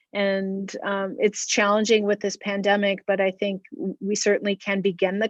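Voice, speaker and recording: The sound is dry and close, without echo. A woman talks at a medium pitch. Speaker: school administrator. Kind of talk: public meeting response. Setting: public hearing. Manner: slow, hesitant.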